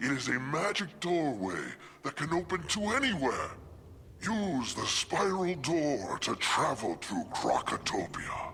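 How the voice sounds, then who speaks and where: A man's put-on character voice, high-pitched for a man, at a fairly slow pace over clear background noise. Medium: video game. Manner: calm, explanatory.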